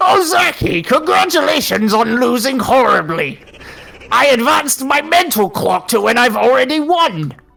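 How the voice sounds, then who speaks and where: This man uses a put-on character voice pitched extremely high. He raises and projects it. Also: moderate pace. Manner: smug and mocking.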